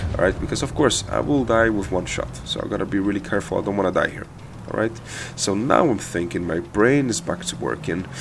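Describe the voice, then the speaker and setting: A man with a non-native accent talks at a fairly quick pace in a fairly low voice. His pitch swings very widely. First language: not English. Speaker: gaming video creator. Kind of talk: gameplay commentary tutorial. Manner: casual, many hesitations and repeated words.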